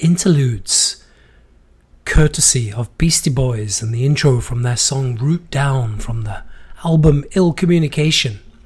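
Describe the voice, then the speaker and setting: Somewhat breathy, a man speaks at a moderate pace in a fairly high voice with ordinary pitch variation. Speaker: podcast host. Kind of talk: casual monologue. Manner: unsteady voice.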